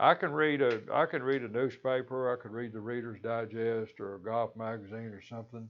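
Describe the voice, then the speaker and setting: This man has a Kentucky accent and a medium pitch, with fairly even intonation. He talks fairly quickly, and his loudness swings widely. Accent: US Southern, Kentucky. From western Kentucky. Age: 70s. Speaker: lay preacher. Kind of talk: devotional talk. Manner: halting, repeats words.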